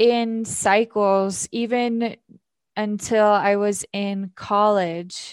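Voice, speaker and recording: A woman with a fairly high pitch and an American accent speaks at a very slow pace with fairly even intonation, on a very clean recording with a silent background. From US, Idaho (Filer). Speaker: poet and yoga instructor. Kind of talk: interview conversation.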